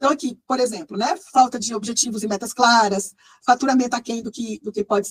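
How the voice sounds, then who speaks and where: Heard in a dry, close sound with no echo, a woman speaks at a fairly quick pace in a high pitch with ordinary pitch variation. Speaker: management consultant and researcher. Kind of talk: online presentation to group. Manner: fast; frequent hesitations.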